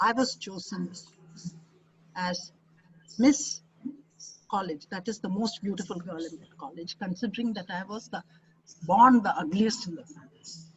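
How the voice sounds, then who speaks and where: In a Keralan accent, the speaker goes at a moderate pace with ordinary pitch variation and long, frequent pauses. The voice is somewhat breathy, with big swings in loudness. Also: woman. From India, Kerala. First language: Malayalam. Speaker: expert speaker. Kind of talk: webinar talk. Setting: online webinar.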